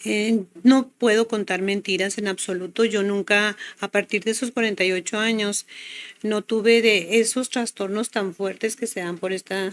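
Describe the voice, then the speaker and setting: The intonation is monotone and flat. The pace is fairly slow. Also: woman, medium pitch for a woman. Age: 60s. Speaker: health product promoter. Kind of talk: testimony.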